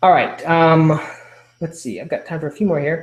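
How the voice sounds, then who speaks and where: Here a man speaks with ordinary pitch variation. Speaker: webinar host. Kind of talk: live webinar Q&A. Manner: fast.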